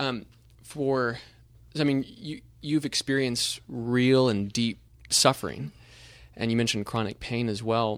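On a very clean recording with a silent background, a man speaks at a fairly slow pace and medium pitch with ordinary pitch variation and long, frequent pauses. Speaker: interviewer. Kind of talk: interview conversation.

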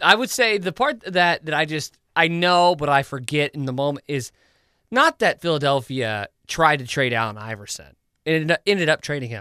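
Bright and sharp in tone, a man speaks at a fairly high pitch with lively intonation and a moderate pace. The sound is dry and close with no echo, in a very clean recording with a silent background. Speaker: podcast co-host. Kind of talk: casual chat. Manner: rambling, filler-heavy.

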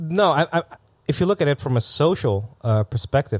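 Speaking with a Dutch accent at a moderate pace, a man with a somewhat breathy voice and very wide pitch swings is heard on a very clean recording with a silent background and a dry, close sound with no echo. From Netherlands. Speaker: events entrepreneur living in Bangkok. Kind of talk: casual chat.

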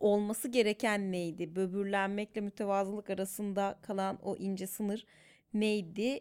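A woman speaks at a fairly slow pace in a medium pitch, her intonation flat and monotone. The recording is very clean, with a silent background. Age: 30s. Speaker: psychologist working in media. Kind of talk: casual chat.

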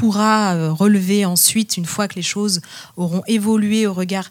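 A somewhat breathy, medium-pitched woman's voice at a moderate pace, with ordinary pitch variation, in a very clean recording with a silent background. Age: 30s. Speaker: music teacher and researcher. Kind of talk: panel discussion. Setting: stage with audience.

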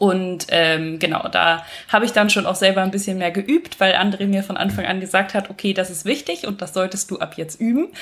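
A woman speaks at a medium pitch in a normal speaking voice. She leaves hardly any pauses. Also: ordinary pitch variation, fairly quick pace. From western Germany. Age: 20s. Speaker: bodybuilder and architect. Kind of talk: casual chat.

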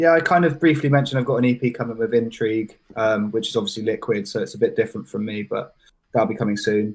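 Talking at a very fast pace, a man with a West Country accent uses ordinary pitch variation. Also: medium pitch for a man. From southwest England, Bath and Bristol area. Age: 20s. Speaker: drum and bass producer. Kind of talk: casual chat. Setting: live stream.

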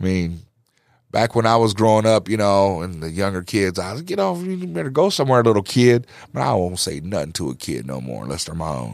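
On a very clean recording with a silent background, a man with an American accent and a very deep, low pitch speaks at a fairly quick pace with lively intonation. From Quad Cities, Illinois (East Moline). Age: 50s. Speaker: comedian. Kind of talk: casual chat.

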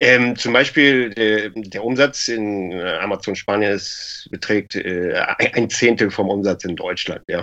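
This man talks very slowly, his fairly low voice showing ordinary pitch variation. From Lower Saxony, Germany. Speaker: e-commerce entrepreneur. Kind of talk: casual interview.

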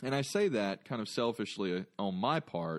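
A man at a medium pitch with an American accent, against a quiet background. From North Carolina. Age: 30s. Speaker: podcast host. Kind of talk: solo outro monologue; casual interview. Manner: halting, many fillers.

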